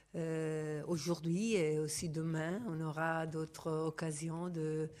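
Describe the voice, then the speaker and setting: A woman with an Italian accent has a very deep, low pitch and a dark, mellow tone. She talks at a very slow pace in a monotone, flat intonation. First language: Italian (speaking French). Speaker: sociology professor. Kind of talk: academic talk.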